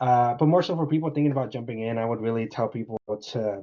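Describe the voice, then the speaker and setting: This man talks very fast at a medium pitch, his pitch varying in an ordinary way. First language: not English. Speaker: appointment setter. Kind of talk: interview podcast conversation.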